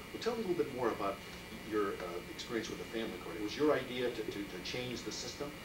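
A man talks very fast, and noticeable background noise can be heard. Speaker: oral history interviewer. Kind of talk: interview questions. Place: office. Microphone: old recording.

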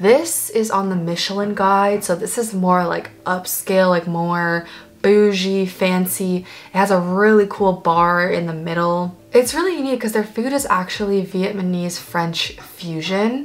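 Ordinary pitch variation from a woman at a fairly slow pace. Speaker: food vlogger. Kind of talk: casual vlog chat. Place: home room.

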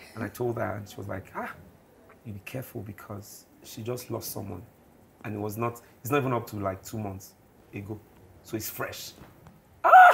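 With noticeable background noise behind him, a man at a fairly low pitch takes long, frequent pauses and shows big swings in loudness. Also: moderate pace. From Ogun State, southwestern Nigeria. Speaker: gospel singer and musician, guest. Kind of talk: interview, storytelling. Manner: animated, humorous.

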